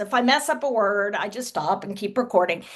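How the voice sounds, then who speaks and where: A woman talks at a moderate pace with a Texas accent. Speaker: author and social media creator. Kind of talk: interview.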